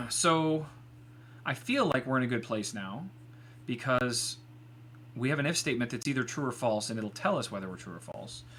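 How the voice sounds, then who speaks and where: Mumbling with vocal fry, a man talks at a moderate pace in a bright, sharp tone, broken by long, frequent pauses. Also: medium pitch for a man, ordinary pitch variation. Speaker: live-streaming software developer. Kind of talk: live coding stream. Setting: live stream. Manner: quiet when focused.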